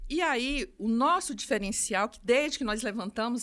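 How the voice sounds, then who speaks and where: A woman's fairly high voice with lively intonation, in a very clean recording over a silent background. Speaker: optical store owner. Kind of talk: podcast interview. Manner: fast; animated.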